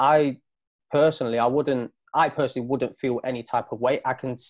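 A man talks fairly quickly in an East Midlands accent. His pitch is fairly high and the background is quiet. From East Midlands, England. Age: 30s. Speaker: professional footballer and school coach. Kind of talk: casual chat. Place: home room. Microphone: video call.

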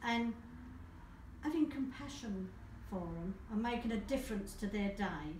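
A woman at a fairly slow pace with ordinary pitch variation, amid light background noise and audible room echo. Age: 70s. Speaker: caregiver. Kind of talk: interview answer. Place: office. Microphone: camera far.

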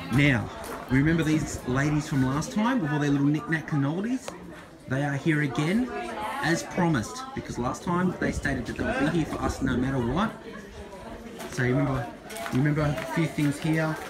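Over crowd noise in the background, a man talks at a fairly quick pace with ordinary pitch variation. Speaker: market vlogger. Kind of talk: casual vlog commentary. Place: market. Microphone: phone near.

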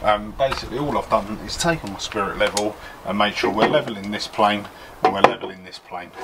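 Loud noise fills the background as a man talks at a fairly quick pace. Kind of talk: tutorial. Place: garden.

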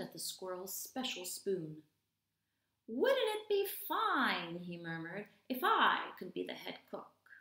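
Against a quiet background, a woman speaks in an enthusiastic tone at a fairly slow pace, with audible room echo. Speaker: ESL teacher. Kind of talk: children's story read-aloud. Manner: expressive, enthusiastic, clear. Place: home room. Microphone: webcam.

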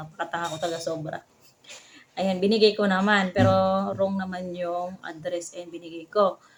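A plain, everyday voice from a woman, medium-pitched and fairly quick, with ordinary pitch variation. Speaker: vlogger. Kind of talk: casual vlog narration.

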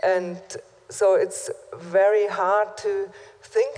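A German accent from a woman speaker. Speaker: conference moderator. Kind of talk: panel discussion. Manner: halting. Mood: earnest, critical. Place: hall. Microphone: podium.

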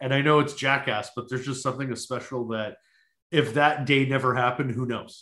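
A man speaks with a Canadian accent at a medium pitch. His pitch varies an ordinary amount against a quiet background. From Winnipeg, Canada. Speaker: podcast co-host. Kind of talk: casual chat. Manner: animated.

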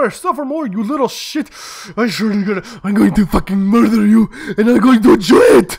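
At a fairly quick pace, a man does a put-on character voice, high-pitched with lively intonation. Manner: menacing, gleeful.

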